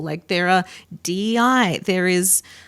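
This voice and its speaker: A woman with an Australian accent speaks at a fairly slow pace. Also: very clean recording, silent background. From Australia, south of Sydney. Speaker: event accessibility professional. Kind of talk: podcast interview.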